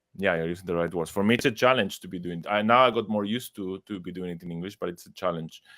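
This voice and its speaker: A man with an Argentine accent speaks with hardly any pauses. His voice is very deep and low, with ordinary pitch variation. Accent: non-native English, Argentine Spanish. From Argentina. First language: Spanish. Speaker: astrologer and psychologist. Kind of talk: interview conversation. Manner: halting, with fillers.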